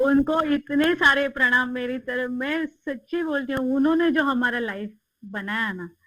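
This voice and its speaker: A woman's high, raised, projected voice with a bright, sharp tone and hardly any pauses. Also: ordinary pitch variation. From Maharashtra, India. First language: Marathi (speaking Hindi). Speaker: interview guest. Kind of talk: interview.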